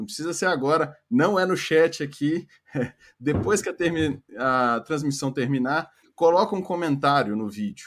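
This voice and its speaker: On a very clean recording with a silent background, a man with an unremarkable speaking voice talks at a fairly slow pace with lively intonation. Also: fairly high pitch for a man. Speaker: live stream technical moderator. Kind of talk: casual announcements.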